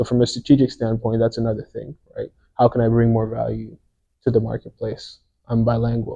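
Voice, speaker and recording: This man's voice is dark, mellow and somewhat breathy. He speaks at a fairly quick pace with monotone, flat intonation. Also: medium pitch for a man. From France or French Canada. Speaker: podcast co-host. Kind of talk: casual podcast conversation.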